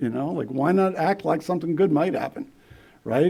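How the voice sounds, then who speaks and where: Using lively intonation, a man with an American accent speaks at a fairly high pitch in a dark, mellow tone with vocal fry. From Philadelphia, US. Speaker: AA speaker. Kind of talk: recovery testimony talk. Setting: meeting room with audience. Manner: halting, many repetitions.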